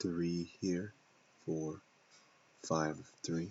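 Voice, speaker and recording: A soft-spoken man with a very deep, low pitch, a very slow pace and monotone, flat intonation. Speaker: trader. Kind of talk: tutorial. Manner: halting.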